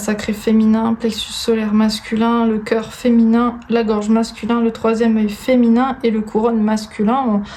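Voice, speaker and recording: Background noise is noticeable behind a woman with a fairly high pitch. Her intonation is monotone and flat, her loudness very even. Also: hardly any pauses. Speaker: tarot reader. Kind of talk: tarot card reading.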